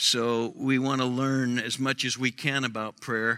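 A man speaks at medium pitch. His tone is bright and sharp. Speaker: pastor. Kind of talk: sermon. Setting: church with congregation.

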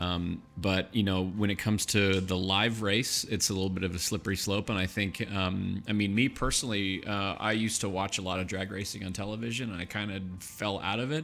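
Speaking at a fairly quick pace with hardly any pauses, a man uses an ordinary speaking voice, fairly low in pitch and with fairly even intonation. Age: 40s. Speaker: podcast host. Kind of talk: casual interview chat. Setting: studio.

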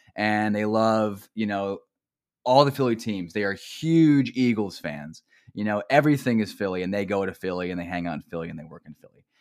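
Loudness swings widely as a man with a New Jersey accent talks at a fairly quick pace. His pitch is fairly low and his intonation lively. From central New Jersey. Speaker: mentor and academic counselor. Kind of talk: casual conversational interview. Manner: conversational, laughs often, uses filler words.

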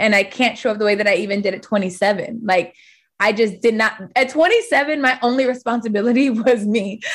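At a moderate pace, a woman talks in a fairly high pitch with ordinary pitch variation, in an unremarkable speaking voice. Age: 30s. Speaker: fitness studio owner. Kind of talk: casual chat.

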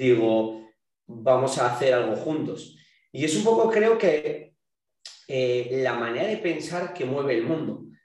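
At a very slow pace, a man of medium pitch speaks with very wide pitch swings and audible room echo. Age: young. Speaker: fitness coach and entrepreneur. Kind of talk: casual chat.

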